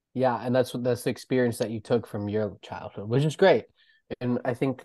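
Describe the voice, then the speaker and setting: Talking at a fairly quick pace and medium pitch, a man with an unremarkable speaking voice keeps a fairly even intonation. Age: 20s. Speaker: podcast host. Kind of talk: casual chat.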